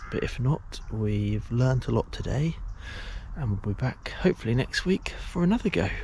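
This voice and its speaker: Here a man speaks in an English accent. His pace is moderate. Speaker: angler vlogger. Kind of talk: casual vlog narration. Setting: outdoors at a lake. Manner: whispering.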